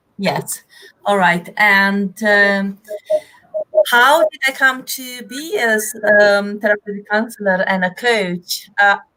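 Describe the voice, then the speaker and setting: At a very slow pace, a woman with a Romanian accent speaks at a medium pitch with ordinary pitch variation. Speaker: therapeutic counselor and business coach. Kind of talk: interview.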